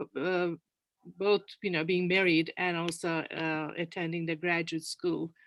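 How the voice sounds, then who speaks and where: A woman with a Turkish accent, fairly low in pitch and fairly slow in pace, on a very clean recording with a silent background. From Turkey, Ankara. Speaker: panel guest, community leader. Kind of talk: panel interview.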